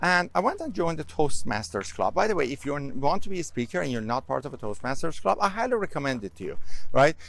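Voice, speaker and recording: A man with a non-native accent and vocal fry talks very fast at a fairly high pitch, with very wide pitch swings. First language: not English. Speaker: public speaking coach and course creator. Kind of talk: casual vlog talk. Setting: outdoors, walking. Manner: conversational, with fillers.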